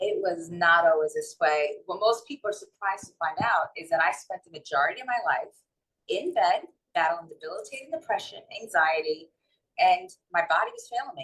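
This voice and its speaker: A woman talks at a fairly quick pace in a strong New York accent. Her loudness swings widely. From New York City and North Jersey. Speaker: holistic wellness and mindset coach. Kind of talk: interview, personal testimony.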